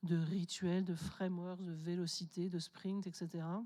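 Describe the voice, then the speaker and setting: Her voice has a dark, mellow tone at a medium pitch. The woman's intonation is fairly even. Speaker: conference keynote speaker. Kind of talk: conference talk. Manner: hesitant, many fillers.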